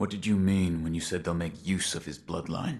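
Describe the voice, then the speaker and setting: Using a put-on character voice, a man talks at a very deep, low pitch with fairly even intonation and a moderate pace. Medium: video game. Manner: terse, low, reserved.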